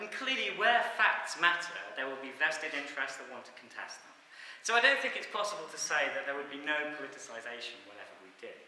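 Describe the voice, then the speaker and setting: Over noticeable background noise, a man speaks very fast with a fairly high pitch. His pitch swings very widely and his loudness rises and falls a lot. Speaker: social science academic. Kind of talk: academic talk.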